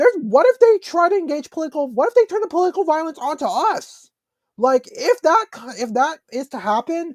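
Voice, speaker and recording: A man speaks at an extremely high pitch with very wide swings in it. His pace is fairly quick. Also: dry, close sound with no echo. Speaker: podcast host. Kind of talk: solo commentary podcast. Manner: halting, stumbling.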